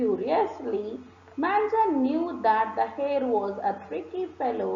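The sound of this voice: This clip features an unforced reading voice.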